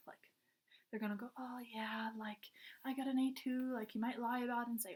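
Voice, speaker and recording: A woman speaks at a fairly quick pace with a somewhat breathy voice. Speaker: college student. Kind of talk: class presentation. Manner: casual, filler-heavy.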